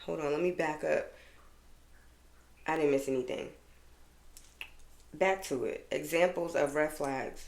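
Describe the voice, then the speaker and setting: A woman with an American accent speaks in a very deep, low voice with lively intonation. Audible room echo is present. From Boston, US Northeast. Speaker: podcast host. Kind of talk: casual solo podcast monologue. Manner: animated.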